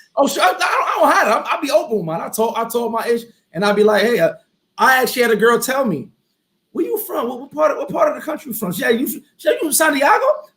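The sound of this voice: A man's extremely high, bright, sharp voice, fast and lively in intonation, with audible room echo.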